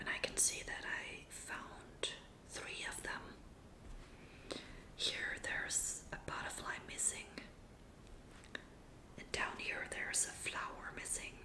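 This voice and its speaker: Whispering at a very slow pace, a woman leaves long, frequent pauses against noticeable background noise. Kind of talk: ASMR magazine reading. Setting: close-miked recording. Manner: whispered, soft-spoken.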